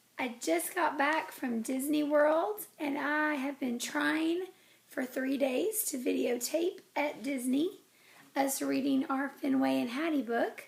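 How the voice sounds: A woman's put-on character voice, high and squeaky yet raspy and hoarse, at a fairly slow pace.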